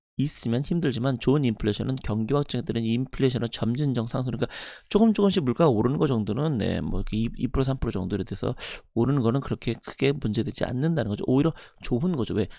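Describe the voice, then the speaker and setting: With a dark, mellow tone and lively intonation, a man talks at a medium pitch and a very fast pace. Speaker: finance youtuber. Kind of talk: report commentary.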